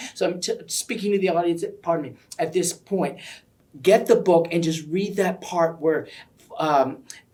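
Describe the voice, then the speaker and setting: Animated in tone, the speaker keeps a moderate pace but leaves long, frequent pauses. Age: 60s. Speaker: library event interviewer. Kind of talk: interview.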